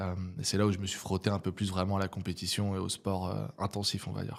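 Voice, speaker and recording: Monotone, flat speech at a very fast pace comes through a very clean recording with a silent background. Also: man, very deep, low pitch for a man. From French provinces. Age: 30s. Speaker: entrepreneur and neuroscience coach. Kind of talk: podcast interview. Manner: casual, many hesitations.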